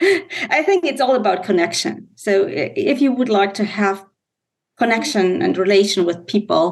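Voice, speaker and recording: A woman speaks with a German accent. Her pitch is medium and her pace moderate. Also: lively intonation. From Germany. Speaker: business executive and mother. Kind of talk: interview. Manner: hesitant, halting.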